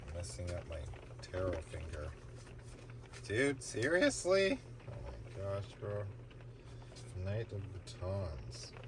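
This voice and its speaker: Very slow and very deep, a man's low-pitched voice moves through very wide pitch swings with long, frequent pauses, amid audible room echo and noticeable background noise. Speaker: tarot reader. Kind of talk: casual tarot reading stream.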